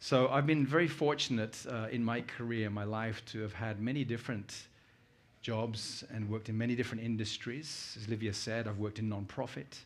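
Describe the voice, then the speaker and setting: With a British accent, a man speaks using fairly even intonation. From UK. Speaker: conference speaker. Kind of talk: keynote talk.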